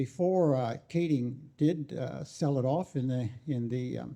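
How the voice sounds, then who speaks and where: A dark, mellow tone with ordinary pitch variation and an American accent. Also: man. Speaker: audience member at political talk. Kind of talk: public talk comment. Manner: halting, many fillers.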